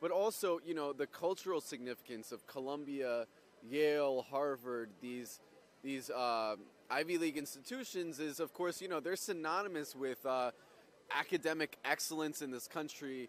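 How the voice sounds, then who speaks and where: An ordinary speaking voice from a man, fairly high in pitch, with ordinary pitch variation and a moderate pace. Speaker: livestream reporter. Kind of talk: live on-location commentary. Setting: outdoors at a campus protest. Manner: casual, filler-heavy.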